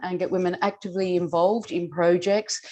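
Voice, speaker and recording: A woman's dark, mellow voice with an Australian accent. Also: quiet background. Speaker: Rotary club volunteer. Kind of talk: interview.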